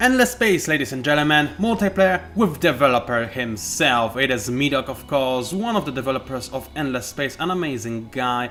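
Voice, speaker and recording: Over music in the background, the speaker's pitch swings very widely at a moderate pace. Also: man, fairly high pitch for a man. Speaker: gamer. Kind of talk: live gameplay commentary.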